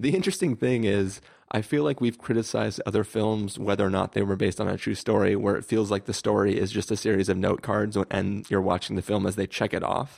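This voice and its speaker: The sound is dry and close with no echo, against a quiet background. A man with a fairly low pitch and an ordinary speaking voice talks at a fairly quick pace. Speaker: podcast host. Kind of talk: casual chat.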